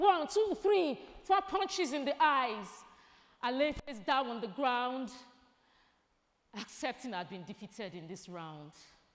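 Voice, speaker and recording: A woman with a high voice speaks at a fairly slow pace in a dramatic tone, with long, frequent pauses. Her pitch swings very widely and her loudness rises and falls sharply. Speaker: spoken word artist. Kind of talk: spoken word poetry performance at an awards gala. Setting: live event stage at an awards gala. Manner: rhythmic, rhyming, dramatic delivery.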